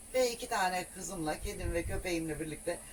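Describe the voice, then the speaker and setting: A woman speaks at a moderate pace with a fairly low pitch and ordinary pitch variation. Noticeable background noise runs under her voice. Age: 60s. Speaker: solo camper van traveller. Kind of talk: casual interview.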